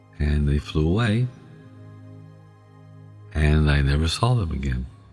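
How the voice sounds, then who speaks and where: A man's very deep, low voice, relaxed in tone and fairly slow, with music in the background. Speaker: sleep storytelling podcast host. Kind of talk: ASMR sleep storytelling, casual personal anecdote. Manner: relaxed, conversational, humorous storytelling.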